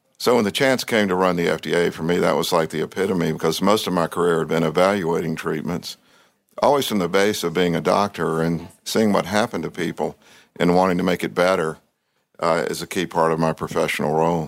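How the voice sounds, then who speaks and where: A man with a Southern US accent speaks at a fairly quick pace in a very deep, low voice. The recording is very clean, with a silent background. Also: ordinary pitch variation. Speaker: cardiologist, former government health official. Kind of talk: interview.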